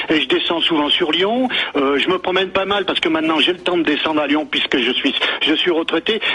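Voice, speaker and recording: Over noticeable background noise, a man talks at a fairly quick pace in a high voice, with ordinary pitch variation and very even loudness. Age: 60s. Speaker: radio caller. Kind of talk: heated debate. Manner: halting.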